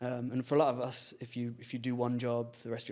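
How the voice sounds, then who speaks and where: Speaking at a very fast pace with a London accent, a man holds a monotone, flat intonation in a dark, mellow tone at a medium pitch. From England, London. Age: 30s. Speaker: filmmaker and content creator. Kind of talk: podcast interview, casual chat. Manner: halting, many restarts.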